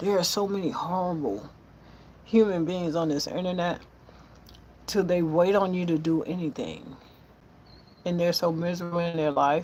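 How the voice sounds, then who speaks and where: In a room with audible echo, a woman with a fairly low pitch speaks in an animated tone. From US South, Florida panhandle (Milton). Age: 60s. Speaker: cook and social media live streamer. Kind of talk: casual live stream chat. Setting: outdoors at home, live stream. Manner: animated, emphatic.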